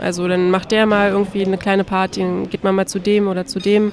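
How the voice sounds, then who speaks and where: Over noticeable background noise, a woman of medium pitch talks at a fairly quick pace. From Berlin. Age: 20s. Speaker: master's student. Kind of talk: interview. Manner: hesitant, with fillers.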